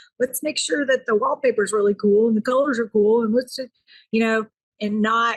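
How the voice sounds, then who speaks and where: A woman with a plain, everyday voice speaks at a fairly high pitch with ordinary pitch variation, in a dry, close sound with no echo. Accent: American. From US South. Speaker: caterer and restaurant owner. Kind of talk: interview podcast.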